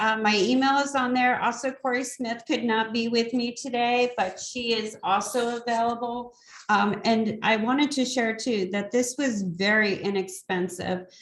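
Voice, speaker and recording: With an ordinary speaking voice, a woman talks at a moderate pace and fairly high pitch, with fairly even intonation and hardly any pauses. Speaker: community program organizer. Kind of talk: online meeting presentation.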